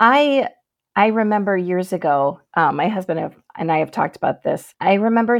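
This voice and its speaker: Speaking at a moderate pace with an Upper Midwest accent, a woman is heard on a very clean recording with a silent background. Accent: Upper Midwest American. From Michigan, US. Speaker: novelist. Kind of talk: interview.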